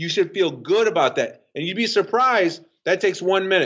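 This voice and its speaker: Loud and high-pitched, a man speaks. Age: 50s. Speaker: fitness coach and author. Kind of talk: podcast interview. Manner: fast.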